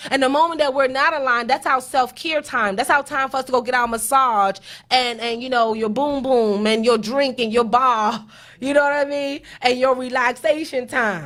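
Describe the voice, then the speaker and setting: With an animated tone, a woman speaks at high pitch and a moderate pace with ordinary pitch variation on a very clean recording with a silent background. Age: 30s. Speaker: accountant and show host. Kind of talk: motivational talk.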